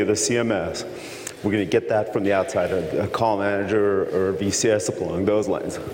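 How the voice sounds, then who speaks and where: A man speaks at a fairly quick pace with fairly even intonation. Audible room echo and noticeable background noise fill the recording. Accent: American. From Texas. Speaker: conference presenter, tech engineer. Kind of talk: technical lecture. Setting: conference session with audience.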